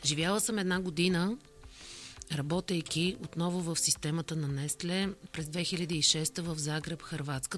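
Here a woman uses a normal speaking voice, fairly low in pitch, at a fairly slow pace. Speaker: corporate communications director. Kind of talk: interview.

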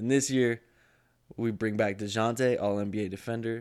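Over a very clean recording with a silent background, a man with an American accent speaks at medium pitch and a moderate pace. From Texas, San Antonio. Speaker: sports podcast host. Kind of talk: casual sports talk.

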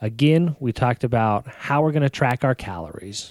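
A man with medium pitch and an unremarkable speaking voice, dry and close with no echo, on a very clean recording with a silent background. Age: 30s. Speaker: fitness podcast co-host. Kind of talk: casual chat.

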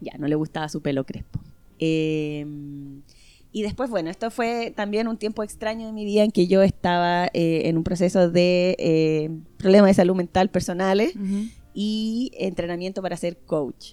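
A woman speaks with a dark, mellow tone. Her pace is fairly slow, with ordinary pitch variation. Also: medium pitch for a woman. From northern Chile. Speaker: podcast guest. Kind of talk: casual chat.

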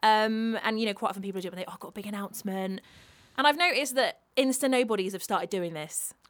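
Very fast and with lively intonation, a woman speaks at a fairly high pitch in a British accent. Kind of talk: casual chat.

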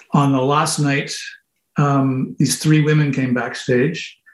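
A man with a Canadian accent speaks at a moderate pace, his voice somewhat breathy, fairly high in pitch and fairly even in intonation. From Canada (moved around, military family). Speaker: musician. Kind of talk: interview. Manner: halting.

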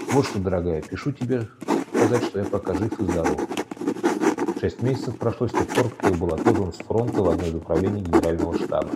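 Amid noticeable background noise, a man speaks very fast with ordinary pitch variation and long, frequent pauses. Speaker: podcast narrator. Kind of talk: scripted narration of wartime history, podcast documentary style. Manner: steady, measured, formal and solemn, with a dramatic documentary tone.

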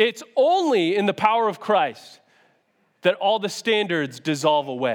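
Speaking loudly at a fairly slow pace, a man with an American accent uses a high pitch, very wide pitch swings and an animated tone. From US Northeast, Syracuse NY. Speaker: youth pastor. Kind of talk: sermon. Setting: church stage with audience.

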